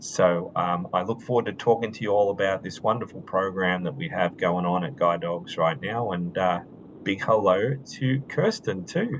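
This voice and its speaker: With an Australian accent, a man speaks at a fairly low pitch. His intonation is lively and his pace moderate. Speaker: orientation and mobility instructor. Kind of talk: video call presentation. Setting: video call.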